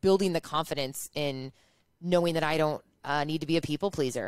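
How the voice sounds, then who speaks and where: A woman with a Chicago accent and a very deep, low pitch, talking at a fairly quick pace with ordinary pitch variation, in a very clean recording with a silent background and a dry, close sound with no echo. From US Midwest, Chicago. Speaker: entrepreneur and influencer. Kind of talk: interview chat.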